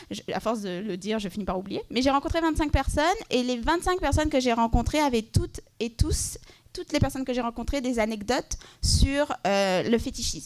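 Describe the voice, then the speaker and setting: Her intonation is lively. The woman's voice is pitched high. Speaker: panelist, LGBTQ+ advocacy project manager. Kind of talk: conference panel presentation. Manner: fast.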